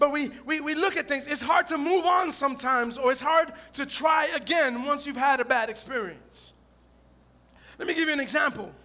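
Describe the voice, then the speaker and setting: Raised and projected, this man's voice has an extremely high pitch, a bright, sharp tone and an animated delivery, moving at a moderate pace with ordinary pitch variation. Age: 40s. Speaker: pastor. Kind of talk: lively call-and-response Sunday sermon. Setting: church with live congregation. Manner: repetitive, stumbling restarts; animated, loud, coaxing amens from the congregation.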